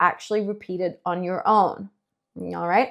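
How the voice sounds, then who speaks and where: This woman has an American accent, and the recording is very clean with a silent background. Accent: American-leaning English. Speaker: English teacher. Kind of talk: tutorial. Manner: slow, clear reading pace.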